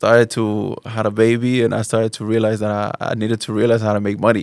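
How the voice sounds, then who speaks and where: A man talks fairly quickly in a very clean recording where the background is silent. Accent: Spanish. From Spain, Barcelona. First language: Spanish. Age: 30s. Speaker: Islamic teacher. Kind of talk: podcast interview. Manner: halting, many repeated words.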